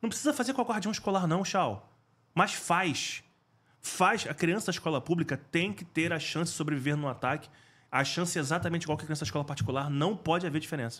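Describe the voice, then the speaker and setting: In a very clean recording with a silent background, a man speaks at a very fast pace in a high pitch with lively intonation. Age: 40s. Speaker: school safety specialist, former firefighter. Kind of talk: interview conversation.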